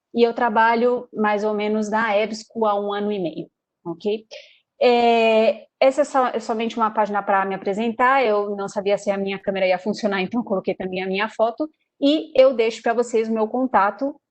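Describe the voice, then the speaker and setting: With a Brazilian accent, a woman speaks at a moderate pace in a fairly high voice with fairly even intonation against a quiet background. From Brazil, São Paulo. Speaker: sales representative. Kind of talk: webinar presentation. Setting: online webinar. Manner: hesitant, many fillers.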